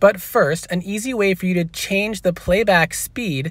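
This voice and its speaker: There is ordinary pitch variation in this man's voice. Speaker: gaming YouTuber. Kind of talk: tutorial. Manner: fast-talking.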